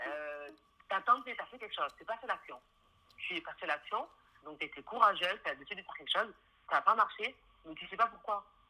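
A woman with a Toulouse accent talks at a fairly quick pace in a bright, sharp tone with fairly high pitch and lively intonation. Her loudness swings widely, and she takes long, frequent pauses. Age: 20s. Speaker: interior designer. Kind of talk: interview.

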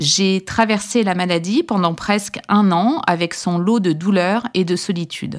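A woman with an ordinary speaking voice, medium pitch, very even loudness and hardly any pauses, at a fairly slow pace. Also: ordinary pitch variation, very clean recording, silent background. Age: 40s. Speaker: pharmacist and podcast host. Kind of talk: scripted narration.

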